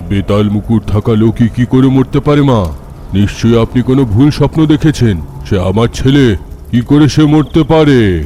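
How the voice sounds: A man performs a cartoonish character voice at medium pitch. Background noise is clearly audible. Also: moderate pace.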